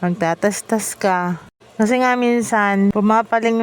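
A woman speaks at a moderate pace in an ordinary speaking voice, her intonation fairly even. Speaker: vlogger. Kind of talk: casual vlog monologue.

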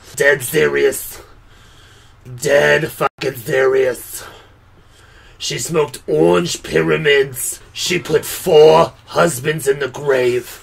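Using a put-on character voice at a medium pitch, a man speaks at a very slow pace with long, frequent pauses. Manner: dead serious, emphatic.

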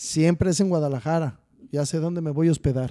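Over a quiet background, a man with a fairly high pitch and a dark, mellow tone talks at a moderate pace with ordinary pitch variation. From central Mexico, Texcoco; central Mexico. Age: 40s. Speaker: charro rider; podcast guest. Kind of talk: casual chat. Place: studio. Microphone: studio mic.

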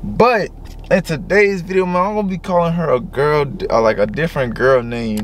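Dry sound with no echo and light background noise surround a man's high-pitched voice. His intonation is lively. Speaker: vlogger. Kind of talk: casual vlog intro chat. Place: car. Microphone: camera far.

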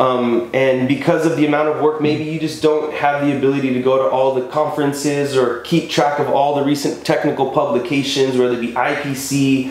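With an American accent, a man talks in a fairly high pitch and a monotone, flat intonation, with audible room echo around him. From Texas. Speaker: pipeline integrity engineer and podcast co-host. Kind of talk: casual chat. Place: office.

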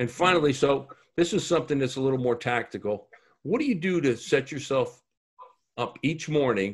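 With a quiet background, a man speaks at a fairly quick pace, his fairly high pitch somewhat breathy and his intonation lively. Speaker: leadership podcast host and business coach; leadership podcast host, business coach. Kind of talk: interview podcast. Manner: energetic, informal. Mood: friendly, upbeat. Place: office. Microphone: video call.

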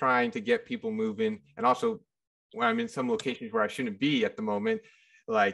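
With very wide pitch swings, a man talks at a moderate pace against a quiet background. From Sacramento; California. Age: 20s. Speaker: podcast host. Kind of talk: casual chat. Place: home room. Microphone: video call.

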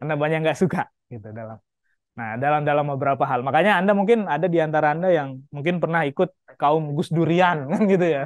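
Over a quiet background, a man speaks at a fairly quick pace with lively intonation, the sound dry with no echo. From Lombok, Indonesia; Indonesia. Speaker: university lecturer. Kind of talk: lecture. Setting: classroom. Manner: animated. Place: classroom. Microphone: handheld.

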